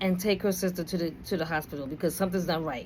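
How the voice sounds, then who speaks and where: A woman speaks at a medium pitch in a New York accent. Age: 50s. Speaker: video blogger. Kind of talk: personal storytelling. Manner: casual, conversational.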